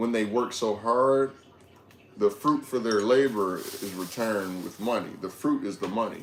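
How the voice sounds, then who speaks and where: Speaking fairly slowly with long, frequent pauses, a man keeps a medium pitch and a fairly even intonation. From Detroit, Michigan, US. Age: 20s. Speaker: livestreamer. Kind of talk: casual livestream chat.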